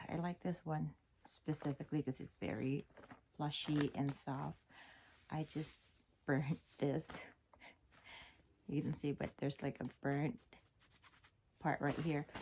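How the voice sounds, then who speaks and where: A woman with a very deep, low pitch and vocal fry speaks at a fairly slow pace with fairly even intonation and long, frequent pauses. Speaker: beauty and fashion vlogger. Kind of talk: casual talk to camera. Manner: almost monotonous.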